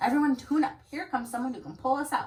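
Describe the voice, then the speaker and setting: Using a put-on character voice, a woman talks very fast at a high pitch. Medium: read story. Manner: fretful.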